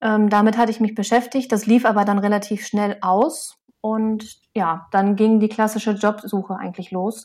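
With hardly any pauses and fairly even intonation, an ordinary speaking voice keeps a moderate pace. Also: woman, fairly high pitch for a woman. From Lower Saxony, Osnabrück area. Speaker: soil scientist and author. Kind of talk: interview.

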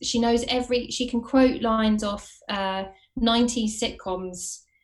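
With a southern English accent, a woman talks at a fairly slow pace and a fairly high pitch. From Watford, southern England. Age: 30s. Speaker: actress and writer. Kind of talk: casual interview chat.

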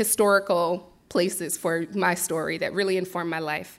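An ordinary speaking voice with an American accent. The intonation is fairly even and the pace fairly slow. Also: woman. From Philadelphia, US. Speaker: farmer and herbalist. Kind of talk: presentation talk.

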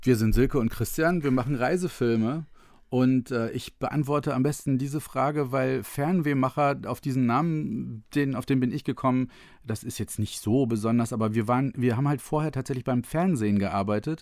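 A man with a medium pitch and an unremarkable speaking voice talks at a moderate pace with ordinary pitch variation. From northern Germany, Otterndorf near Cuxhaven. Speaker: travel filmmaker. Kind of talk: casual interview.

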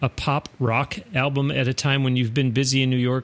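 A man with an unremarkable speaking voice talks at a fairly quick pace, medium in pitch with fairly even intonation. The sound is dry and close, with no echo. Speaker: podcast host. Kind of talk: interview. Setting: studio.

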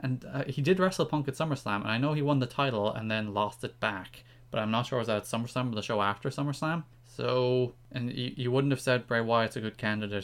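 A man with an Irish accent at a very fast pace, hardly any pauses, ordinary pitch variation, on a very clean recording with a silent background. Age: 20s. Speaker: podcast co-host, wrestling writer. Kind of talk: casual chat.

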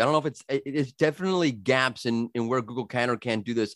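A man with an American accent speaks at a very fast pace in a dry, close sound with no echo. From US, New York. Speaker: podcast host. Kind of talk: casual interview chat.

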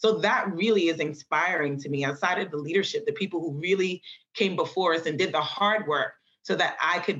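A woman with an American accent and an unremarkable speaking voice talks at a moderate pace with ordinary pitch variation. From New York City, the Bronx. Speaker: electrical engineer. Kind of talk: interview.

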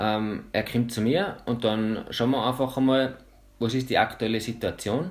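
A man's normal speaking voice, medium in pitch, at a moderate pace with fairly even intonation, on a very clean recording with a silent background. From Austria (Salzburg, Pinzgau). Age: 20s. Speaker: mental trainer and freerunner. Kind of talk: interview.

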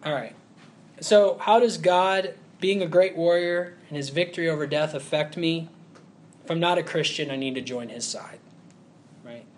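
At a moderate pace, a man with a Southern US accent speaks at a high pitch, with long, frequent pauses and big swings in loudness. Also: ordinary pitch variation. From US South, Huntsville, Alabama. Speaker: preacher. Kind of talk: sermon.

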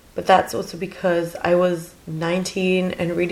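Her intonation is monotone and flat as the woman talks through noticeable background noise. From Germany. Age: 20s. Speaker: podcast guest, master's student and journalist. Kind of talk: casual chat interview.

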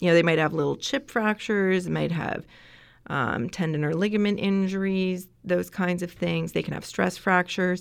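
An unremarkable speaking voice comes through in a very clean recording with a silent background. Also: woman. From Canada, Ontario. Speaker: veterinary surgeon and assistant professor. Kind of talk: interview.

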